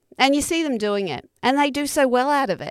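With an Australian accent, the voice moves at a moderate pace with lively intonation, recorded dry and close with no echo. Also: woman. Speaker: comedian podcast host. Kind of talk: casual chat. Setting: video call.

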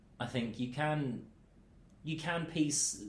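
This man talks with ordinary pitch variation and a somewhat breathy quality. Room echo is audible. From Milton Keynes, England. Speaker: radio presenter and DJ. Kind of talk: casual chat. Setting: studio.

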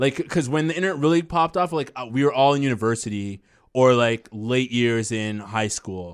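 A man talks at a fairly quick pace in a normal speaking voice, recorded very cleanly against a silent background. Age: 20s. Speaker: podcast co-host. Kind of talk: casual chat.

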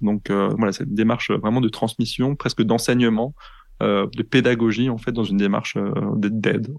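A man with a plain, everyday voice, medium pitch, fairly even intonation and a moderate pace, over a quiet background. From eastern France, Franco-German border. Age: 30s. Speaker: public health researcher and podcaster. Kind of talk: interview testimony.

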